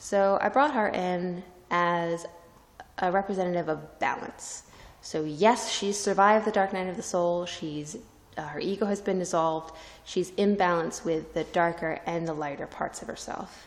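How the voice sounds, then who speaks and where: Moderate pace and ordinary pitch variation from a woman speaking. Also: medium pitch for a woman. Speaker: artist. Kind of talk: artist talk on a gallery tour.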